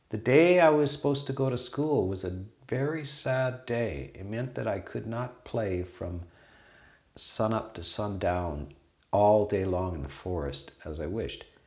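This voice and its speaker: A man's voice swings very widely in pitch, with audible room echo around it. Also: fairly low pitch for a man, fairly slow pace. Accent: Canadian. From western Canada. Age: 60s. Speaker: Buddhist monastery abbot. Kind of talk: casual conversation.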